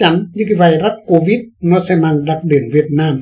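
A man's high-pitched voice, dark and mellow in tone, with ordinary pitch variation and a quiet background. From Vietnam. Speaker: news commentary host; news commentator. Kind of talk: current affairs commentary. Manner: formal.

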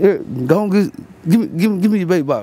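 A man with an American accent at a fairly quick pace, the sound dry with no echo. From Fort Worth, Texas. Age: 30s. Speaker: homeless man interviewed on street. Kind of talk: street interview. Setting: outdoors. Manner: halting; laid-back. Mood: relaxed storytelling. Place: street.

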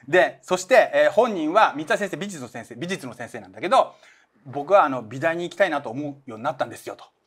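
A man's high-pitched voice at a very fast pace, with very wide pitch swings and big swings in loudness. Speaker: manga artist and channel host; channel host. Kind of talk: casual chat about manga. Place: studio.

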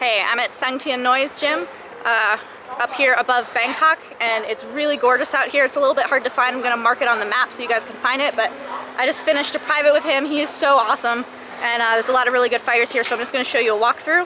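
Very fast speech with fairly even intonation, a dry sound with no echo, and noticeable background noise. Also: woman, high pitch for a woman. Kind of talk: casual vlog chat. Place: gym. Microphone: phone near.

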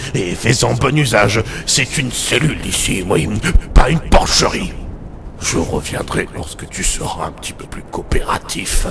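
A man speaks at a moderate pace and medium pitch. Clear background noise is present. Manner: gruff, verbal tic "oui".

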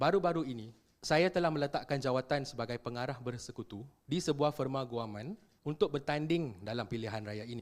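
Over a silent background in a very clean recording, a man uses an ordinary speaking voice at medium pitch, ordinary pitch variation and a fairly quick pace. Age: 30s. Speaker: political candidate, lawyer. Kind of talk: campaign statement. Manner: formal.

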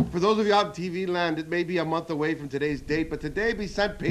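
Over light background noise, a man speaks in a high voice at a moderate pace with ordinary pitch variation. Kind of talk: formal club meeting opening speech. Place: studio. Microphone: podium.

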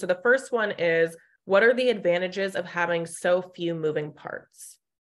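With an American accent, a woman talks with ordinary pitch variation. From US West, Sacramento area, California; California. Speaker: webinar moderator. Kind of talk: webinar moderation, reading audience questions. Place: home room. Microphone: webcam.

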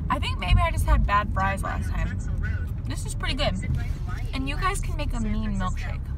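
The background noise is loud. A woman speaks with a dry sound and no echo. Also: moderate pace. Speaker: vlogger. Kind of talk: casual vlog chat. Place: car. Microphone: phone near.

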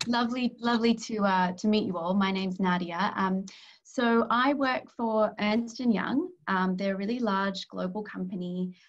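The speaker has an Australian accent and a somewhat breathy voice with ordinary pitch variation. The pace is moderate and the background quiet. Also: woman, medium pitch for a woman. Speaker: corporate strategy advisor. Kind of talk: career talk interview. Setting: video call. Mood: warm, friendly. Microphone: video call.

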